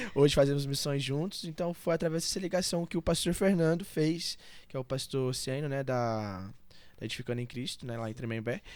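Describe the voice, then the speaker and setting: Cleanly recorded with a silent background, a man talks fairly quickly in a normal speaking voice, his fairly high pitch showing ordinary variation. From Brazil, Goiás (Valparaíso, near Brasília). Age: 20s. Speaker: church member, pastor's son. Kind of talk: podcast interview.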